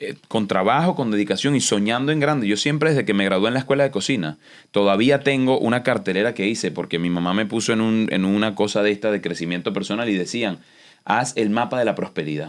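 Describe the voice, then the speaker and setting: A man with a Venezuelan accent talks at a very fast pace. The recording is very clean, with a silent background. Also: ordinary pitch variation. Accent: Venezuelan accent, kept unadjusted. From Venezuela, Los Teques. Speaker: chef and TV host. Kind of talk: interview conversation. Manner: animated.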